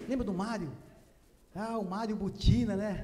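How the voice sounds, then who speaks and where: A man talks at a fairly slow pace. Room echo is audible, and there is noticeable background noise. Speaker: evangelist preacher. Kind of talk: sermon. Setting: church.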